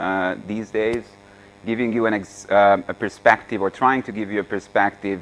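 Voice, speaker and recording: A man's fairly low voice in a Hungarian accent, with monotone, flat intonation. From Hungary. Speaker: AI author and speaker. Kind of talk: seminar lecture. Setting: seminar room with audience. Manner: halting, many fillers.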